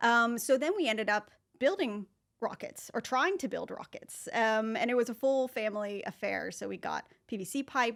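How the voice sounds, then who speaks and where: In a plain, everyday voice, a woman with an American accent talks at a moderate pace, her fairly high pitch showing ordinary variation on a very clean recording with a silent background. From US, Northern California. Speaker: marketing professor. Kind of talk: podcast interview. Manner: casual, with many fillers.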